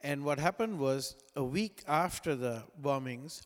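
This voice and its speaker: This man, with a Sri Lankan accent, has a fairly high pitch and ordinary pitch variation in a very clean recording with a silent background. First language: non-English (Sri Lankan language). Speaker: pastor. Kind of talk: sermon. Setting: church.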